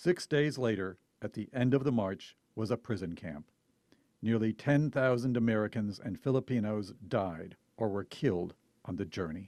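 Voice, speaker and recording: A man with a normal speaking voice and fairly low pitch talks at a moderate pace with lively intonation. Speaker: TV news reporter. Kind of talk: TV news feature narration.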